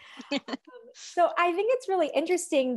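Against a quiet background, a woman with an American accent speaks with lively intonation. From US. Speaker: editor and interviewer. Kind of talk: interview. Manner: upbeat. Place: home room. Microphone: earbuds.

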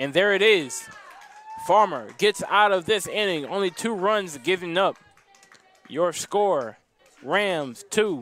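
Music plays in the background as a high-pitched man speaks with ordinary pitch variation. His pace is very slow, broken by long, frequent pauses. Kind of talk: live baseball play-by-play commentary. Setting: broadcast from ballpark.

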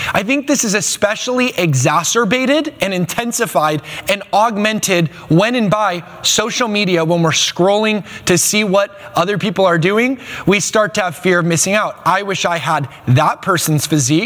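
A man talks at a moderate pace with lively intonation. His pitch is high and his loudness very even. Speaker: pastor. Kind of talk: sermon to a congregation. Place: studio. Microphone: lapel.

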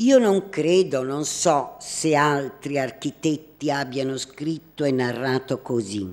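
This woman's voice is very deep and low. She talks at a very slow pace with lively intonation. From Naples, southern Italy; southern Italy. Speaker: art critic; presenter. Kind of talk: prepared talk, partly read aloud. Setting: hall with live audience. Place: hall.

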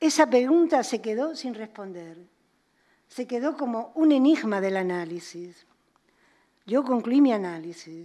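Against a quiet background, a woman with a fairly high, dark, mellow voice speaks at a fairly slow pace with long, frequent pauses. Her pitch swings very widely and her loudness shifts a lot. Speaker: psychoanalyst and author; psychoanalyst. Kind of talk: lecture. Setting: museum auditorium with audience. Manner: fluid. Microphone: podium.

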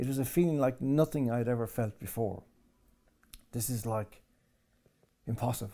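With an Irish accent, a man speaks at a moderate pace in a dark, mellow tone, with ordinary pitch variation. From Ireland. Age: 60s. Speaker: political commentator. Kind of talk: interview. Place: home room.

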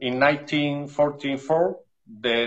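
Against a quiet background, a man with an Andalusian accent speaks at a fairly high pitch. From Spain. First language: Spanish. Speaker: dog breeder. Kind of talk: interview reading prepared notes. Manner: halting. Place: home room. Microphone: video call.

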